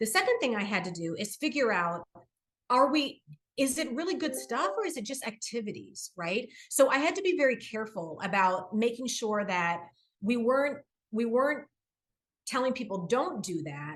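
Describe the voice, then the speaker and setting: A woman talks at a fairly high pitch. Her pitch swings very widely. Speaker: corporate diversity executive. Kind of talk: interview. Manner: fast.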